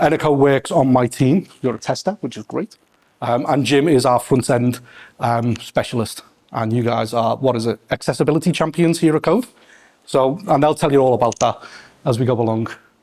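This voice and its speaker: A man with a Scouse accent talks at a medium pitch with ordinary pitch variation. The sound is dry and close, without echo. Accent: Scouse (Liverpool English). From Liverpool, England. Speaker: test lead and meetup host. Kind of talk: event introduction to live audience. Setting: event space with audience. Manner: fast; hesitant, many fillers.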